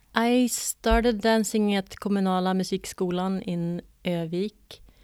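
A woman talks with a Swedish accent. The recording is very clean, with a silent background. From northern Sweden, Örnsköldsvik. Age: 40s. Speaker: choreographer and dancer. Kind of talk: interview conversation. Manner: hesitant, many fillers.

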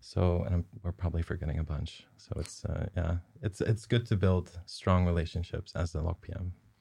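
Very deep and low in pitch, this man's voice has a dark, mellow tone, is somewhat breathy, keeps a fairly even intonation and shows big swings in loudness. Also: fairly quick pace, very clean recording, silent background. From southern Netherlands. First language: Dutch. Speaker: associate producer. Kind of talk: casual interview chat.

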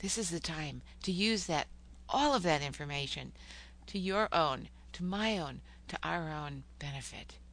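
The speaker goes at a fairly slow pace with long, frequent pauses, and room echo is audible. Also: woman. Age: 60s. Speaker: poet and psychotherapist podcaster. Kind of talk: podcast monologue with poetry reading.

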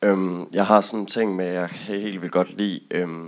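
At a fairly slow pace, a man with a very deep, low pitch speaks in monotone, flat intonation. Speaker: audience member. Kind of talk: audience discussion.

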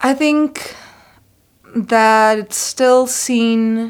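A woman with a Spanish accent in a very clean recording with a silent background. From Costa Rica. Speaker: adjunct faculty and former graduate student. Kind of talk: interview.

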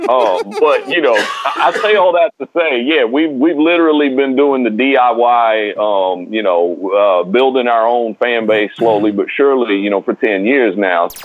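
Speaking with an American accent, a man keeps a very even loudness, a medium pitch and lively intonation at a fairly slow pace with hardly any pauses, over noticeable background noise. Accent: country twang, still noticeable. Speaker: rapper. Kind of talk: interview. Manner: casual, filler-heavy.

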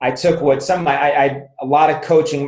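Fairly high in pitch and somewhat breathy, a man's voice moves at a fairly quick pace. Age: 50s. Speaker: chiropractor and business author. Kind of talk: interview.

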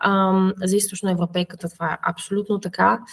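This woman's voice sits at a medium pitch and is somewhat breathy. She talks at a moderate pace. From Bulgaria, Plovdiv. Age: 30s. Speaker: biotech startup founder and scientist. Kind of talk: interview. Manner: halting, many fillers.

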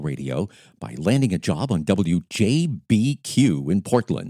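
A man's voice with a dark, mellow tone, vocal fry and very wide pitch swings comes through a very clean recording with a silent background. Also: dry, close sound with no echo. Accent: American. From Maine, US (Lewiston). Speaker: wedding DJ and podcast host, former radio DJ. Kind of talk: scripted self-introduction monologue. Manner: upbeat.

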